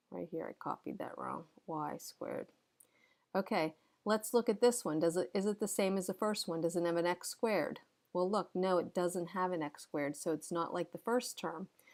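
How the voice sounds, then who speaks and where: At a moderate pace, a woman uses an ordinary speaking voice of medium pitch with ordinary pitch variation. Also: very clean recording, silent background. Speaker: math teacher. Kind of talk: tutorial. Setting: recorded lesson video.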